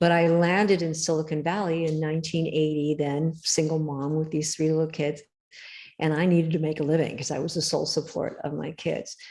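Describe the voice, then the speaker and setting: An American-accented woman speaks fairly quickly in a very deep, low voice with a dark, mellow tone and monotone, flat intonation. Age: 70s. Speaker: author. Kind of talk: interview.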